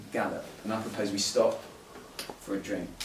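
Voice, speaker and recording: A man's voice against noticeable background noise. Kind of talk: spoken word poetry performance at a live event. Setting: live poetry event at a museum. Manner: narrative, wry, storytelling delivery.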